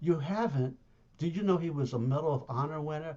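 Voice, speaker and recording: A man with a fairly high voice and ordinary pitch variation. He sounds somewhat breathy and talks at a very fast pace. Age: 70s. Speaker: arts management consultant. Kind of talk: online presentation. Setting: video call. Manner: animated.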